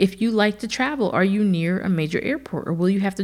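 A woman with an American accent talks very fast at a medium pitch, her animated voice somewhat breathy. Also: very clean recording, silent background. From New Jersey. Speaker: podcast host. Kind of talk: casual chat.

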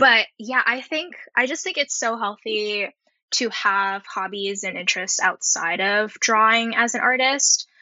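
A woman talks in an American accent with a fairly high pitch. Her intonation is lively and her pace fairly slow. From US, San Francisco Bay Area. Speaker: animation background painter. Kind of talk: interview.

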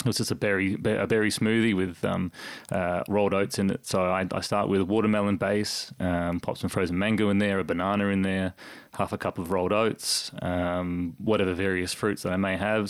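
With an Australian accent, a man talks at a fairly quick pace in a fairly low pitch, his intonation monotone and flat. His loudness is very even, and the recording is very clean with a silent background. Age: 30s. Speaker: sports announcer. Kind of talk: casual chat. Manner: halting.

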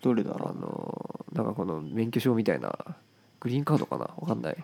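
Very wide pitch swings run through a man's dark, mellow, medium-pitched voice with vocal fry, delivered at a moderate pace. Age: 20s. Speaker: podcast co-host. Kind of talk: casual chat.

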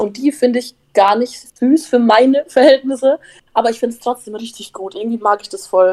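At a fairly quick pace, a woman speaks with a high pitch, ordinary pitch variation and big swings in loudness, in a dry, close sound with no echo. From Upper Franconia, Bavaria (Bamberg area). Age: 19. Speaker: influencer and reality TV participant. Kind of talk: casual chat.

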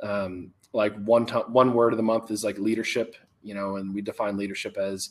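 Speaking with an American accent, a man keeps a fairly low pitch, monotone, flat intonation and a fairly quick pace. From Texas. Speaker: youth fitness coach. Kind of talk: interview.

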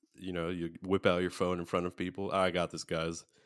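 With an American accent, the speaker talks at a fairly quick pace in a dry, close sound with no echo. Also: man, very clean recording, silent background. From USA. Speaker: podcast host. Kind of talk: casual chat.

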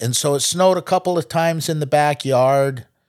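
A man speaks at a fairly slow pace in an ordinary speaking voice with ordinary pitch variation. The sound is dry and close with no echo, on a very clean recording with a silent background. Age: 60s. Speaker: podcast host's father, night-shift worker. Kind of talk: casual chat. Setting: studio.

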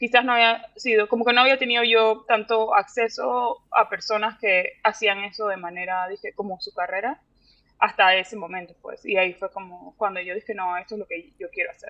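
A woman's fairly high voice with ordinary pitch variation and big swings in loudness. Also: moderate pace. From Panama. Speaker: visual artist. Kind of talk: interview. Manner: halting.

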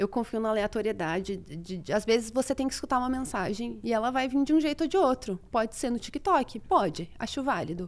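A woman's fairly high voice with very wide pitch swings, fairly quick and with hardly any pauses, on a very clean recording with a silent background. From Brazil. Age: 30s. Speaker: astrologer. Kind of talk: casual chat.

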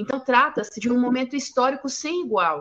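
This is a woman with a high pitch. Her pitch varies in an ordinary way. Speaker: co-host and feminist activist. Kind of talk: panel discussion.

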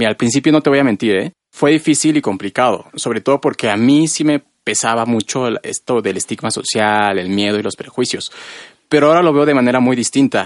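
An ordinary speaking voice, a man's medium-pitched delivery at a fairly quick pace, with ordinary pitch variation and a dry, close sound free of echo. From central Mexico, rural State of Mexico. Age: 20s. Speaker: radio host. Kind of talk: casual radio chat. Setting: radio studio.

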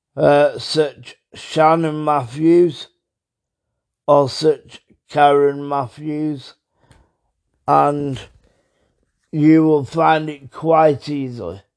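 Speaking very slowly with long, frequent pauses, a man with a British accent holds a fairly high pitch in a monotone, flat intonation. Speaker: true crime podcaster. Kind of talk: podcast narration.

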